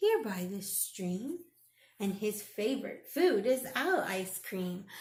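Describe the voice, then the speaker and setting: A woman's put-on character voice at a medium pitch and a fairly slow pace. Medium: read story.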